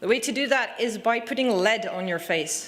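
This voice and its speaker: A woman with a Dutch accent speaks at a moderate pace with lively intonation. There is audible room echo. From Netherlands. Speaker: conference speaker. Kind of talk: short presentation.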